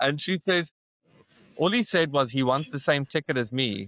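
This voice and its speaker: A man with a South African accent speaks at a fairly slow pace, his pitch swinging very widely. The sound is dry and close with no echo, a very clean recording over a silent background. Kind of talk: interview answer. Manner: casual storytelling.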